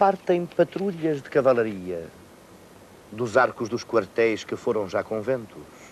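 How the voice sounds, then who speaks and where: A man with a European Portuguese accent speaks at a very slow pace and a medium pitch. His pitch swings very widely, and his loudness rises and falls a lot. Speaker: actor. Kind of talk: poetry reading.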